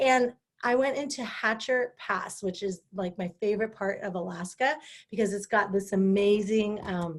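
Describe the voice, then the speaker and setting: With a West Coast accent, a woman speaks in an animated tone at a fairly slow pace. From California, Sierra Nevada. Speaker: live-stream host. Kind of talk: casual live-stream talk. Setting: Facebook live stream.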